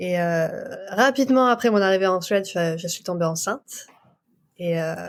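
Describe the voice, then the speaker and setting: With an unremarkable speaking voice, a woman talks at a moderate pace and a medium pitch, with ordinary pitch variation. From France. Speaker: doula. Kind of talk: interview.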